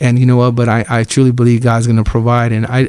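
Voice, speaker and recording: A man with an American accent talks at a very fast pace, his medium-pitched voice flat and monotone. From Fresno, California, US. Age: 40s. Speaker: ministry director. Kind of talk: testimony. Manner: casual, conversational.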